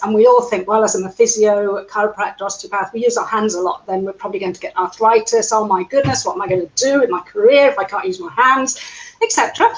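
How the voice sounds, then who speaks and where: A woman with an English accent speaks in a fairly high pitch with lively intonation. Noticeable background noise runs underneath. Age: 60s. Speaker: physiotherapist. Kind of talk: interview.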